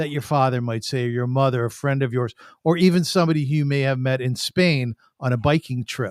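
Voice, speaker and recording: A plain, everyday voice at a fairly quick pace, with ordinary pitch variation and a dry, close sound free of echo. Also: man. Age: 60s. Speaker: podcast host. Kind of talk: podcast monologue intro.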